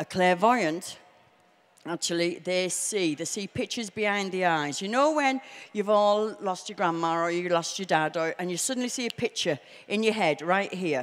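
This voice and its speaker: Lively intonation runs through speech delivered at a moderate pace. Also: woman, medium pitch for a woman. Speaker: psychic medium; presenter. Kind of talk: stage show. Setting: stage with audience. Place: hall. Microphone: handheld.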